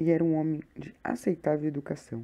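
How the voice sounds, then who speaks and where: A soft-spoken woman talks with a very deep, low pitch and a dark, mellow tone. The recording is very clean, with a silent background. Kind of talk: short story reading.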